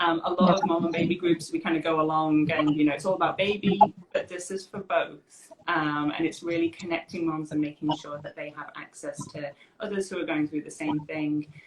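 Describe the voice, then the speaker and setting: A woman with a fairly low pitch talks at a fairly quick pace in a monotone, flat intonation, hardly pausing while her loudness swings widely. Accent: British. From UK. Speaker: occupational therapist. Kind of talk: interview.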